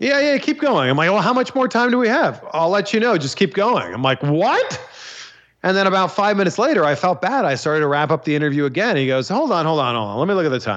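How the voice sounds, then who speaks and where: A man's high voice in a Canadian accent at a very fast pace, with very wide pitch swings and very even loudness. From Canada, Pickering, Ontario. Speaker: wrestling interviewer. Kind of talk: casual interview chat.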